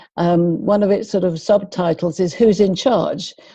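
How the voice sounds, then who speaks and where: The voice carries a dark, mellow tone in a London accent. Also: woman. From London, England (Finchley, North London). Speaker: behaviour and communication expert. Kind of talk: interview.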